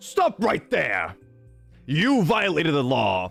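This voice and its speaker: A man puts on a character voice at a fairly high pitch and a fairly slow pace. Faint music plays in the background. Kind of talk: stiff video-game guard line. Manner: stern, shouted, authoritative.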